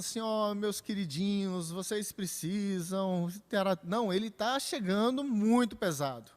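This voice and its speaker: A man's voice at a high pitch. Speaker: pastor teaching Bible study. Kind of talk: Bible study lecture.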